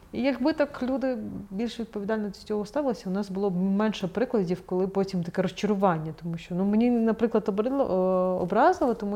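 The delivery moves at a very fast pace with ordinary pitch variation. The tone is dark and mellow. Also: woman. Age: 30s. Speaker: newspaper editor-in-chief. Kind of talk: interview. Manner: halting.

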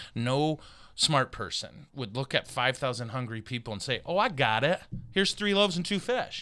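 Bright and sharp in tone, a man with an American accent speaks at a moderate pace with very wide pitch swings. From Michigan. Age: 50s. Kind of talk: casual chat. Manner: animated.

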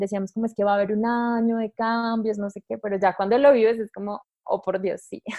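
A woman with a fairly high pitch talks at a fairly quick pace in a monotone, flat delivery. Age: 20s. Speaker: astrologer. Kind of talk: casual interview.

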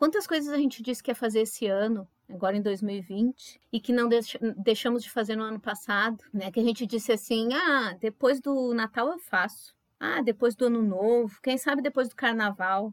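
Heard as a dry, close sound with no echo, a woman uses a normal speaking voice at a fairly high pitch and a moderate pace, with ordinary pitch variation. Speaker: pharmacist and floral therapist, podcast co-host. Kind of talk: casual podcast chat.

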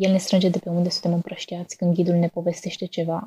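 In a dry, close sound with no echo, a woman speaks at a fairly quick pace with a medium-pitched, somewhat breathy voice and a dark, mellow tone. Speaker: student writer. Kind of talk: reading aloud.

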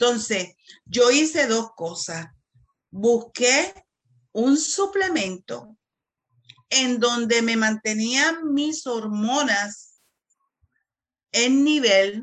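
A woman speaks at a very slow pace with long, frequent pauses. Her high pitch carries lively intonation. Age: 60s. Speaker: pharmacist. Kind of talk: casual chat.

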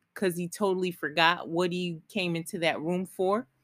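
A normal speaking voice at a moderate pace, on a very clean recording with a silent background. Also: woman, dry, close sound with no echo. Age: 40s. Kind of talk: solo podcast monologue. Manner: conversational, with fillers and restarts.

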